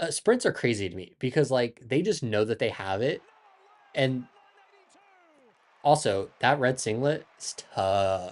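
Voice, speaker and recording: Speaking at a fairly slow pace with an American accent, a man uses a medium pitch with very wide pitch swings against a quiet background. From Ohio, US Midwest. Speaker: track and field commentator / YouTuber. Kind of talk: casual livestream commentary. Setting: live stream. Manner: animated.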